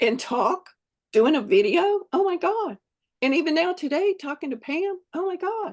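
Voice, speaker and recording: Here a woman talks with a Southern US accent. Her pace is fairly slow. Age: 70s. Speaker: fitness program member sharing her journey. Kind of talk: casual interview.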